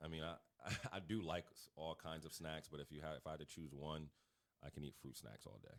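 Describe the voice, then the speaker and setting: Speech at a fairly quick pace with vocal fry and fairly even intonation. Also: man. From Connecticut, US. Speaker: basketball coach. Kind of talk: podcast interview. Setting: studio.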